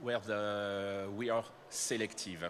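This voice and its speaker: A man speaks with a French accent. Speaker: company manager presenting to startups. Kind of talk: conference presentation.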